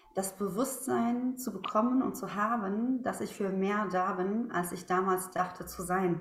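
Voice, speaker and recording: A woman speaks at a fairly slow pace with hardly any pauses, her voice carrying audible room echo over noticeable background noise. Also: medium pitch for a woman, ordinary pitch variation. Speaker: former teacher, now coach and speaker. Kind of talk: interview. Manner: animated.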